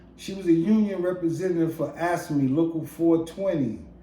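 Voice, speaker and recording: Over audible room echo, a man with a high pitch and a dark, mellow tone talks at a moderate pace with fairly even intonation. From Brooklyn, New York City. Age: 60s. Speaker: storyteller. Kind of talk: casual monologue.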